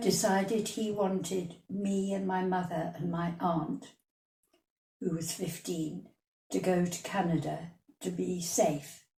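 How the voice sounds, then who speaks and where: A woman's somewhat breathy, fairly low voice, very slow, with fairly even intonation and long, frequent pauses. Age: 80s+. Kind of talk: interview answer, life memories.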